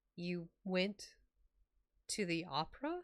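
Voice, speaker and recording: A woman puts on a character voice at medium pitch. It sounds strained. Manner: slow, hurt.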